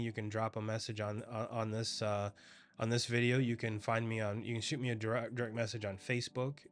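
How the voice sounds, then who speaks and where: Over a silent background in a very clean recording, a man at medium pitch talks at a fairly quick pace. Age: 40s. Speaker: insurance agent. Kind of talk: casual explainer video. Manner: halting, many restarts and fillers.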